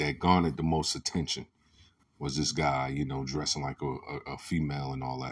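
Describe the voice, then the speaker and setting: The pace is moderate. The intonation stays fairly even. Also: man. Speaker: podcast host. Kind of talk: solo commentary monologue. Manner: passionate, rising voice.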